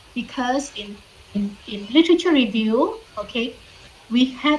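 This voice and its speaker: A woman speaks at a moderate pace with a fairly high pitch and lively intonation. Room echo is audible. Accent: non-native. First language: not English. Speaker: university lecturer. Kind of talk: online lecture. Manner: frequent fillers, repeats okay.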